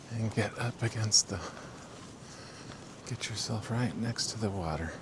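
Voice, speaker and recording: Over noticeable background noise, a man speaks at a fairly slow pace with a medium pitch. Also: ordinary pitch variation. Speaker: RV travel vlogger. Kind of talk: walking tour vlog. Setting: outdoors, campground by river.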